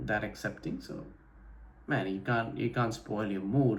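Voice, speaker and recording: A man talks with vocal fry. There is audible room echo. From India, Delhi NCR. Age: 20s. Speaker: vlogger. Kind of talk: casual vlog monologue. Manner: casual, with frequent fillers and repetitions.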